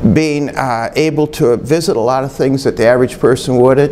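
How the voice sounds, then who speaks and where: This voice has an Upper Midwest accent with ordinary pitch variation. There is noticeable background noise. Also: man. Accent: Upper Midwest American. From Michigan (Bay City). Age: 60s. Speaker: retired museum curator. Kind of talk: oral history interview. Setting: museum.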